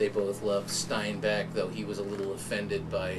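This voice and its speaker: Spoken with an American accent, the clip has audible room echo and noticeable background noise. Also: man. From US-Mexico border, San Diego. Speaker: writer and professor. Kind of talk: interview storytelling.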